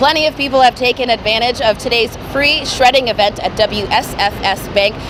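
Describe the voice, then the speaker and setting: A woman with an American accent talks at a moderate pace and a high pitch with ordinary pitch variation, over noticeable background noise. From Los Angeles. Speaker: television news reporter. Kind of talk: TV news report.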